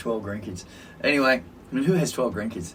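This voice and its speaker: Somewhat breathy, a man with an Australian accent speaks at a fairly quick pace and medium pitch, his pitch swinging very widely. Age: 60s. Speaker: social worker and podcast co-host. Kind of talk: casual chat. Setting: studio recording on camera.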